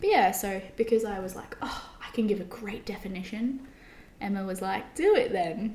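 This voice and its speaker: A woman with an Australian accent at a moderate pace and medium pitch, fairly even intonation, big swings in loudness, audible room echo and noticeable background noise. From Australia, Brisbane. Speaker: podcast co-host. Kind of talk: casual chat. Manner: rising intonation at sentence ends.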